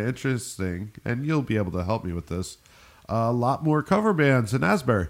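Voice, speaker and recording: Over a very clean recording with a silent background, a man with an unremarkable speaking voice talks at a moderate pace and medium pitch with lively intonation. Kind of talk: casual chat. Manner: casual, swears often.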